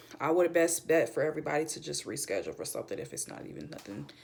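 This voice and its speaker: Noticeable background noise behind a speaking woman. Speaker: student. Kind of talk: class presentation. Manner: stuttering; casual.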